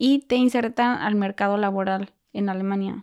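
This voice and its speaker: Over a very clean recording with a silent background, a woman speaks at a fairly slow pace with a Mexican accent and ordinary pitch variation. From Mexico. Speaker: au pair. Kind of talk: casual chat. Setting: in person.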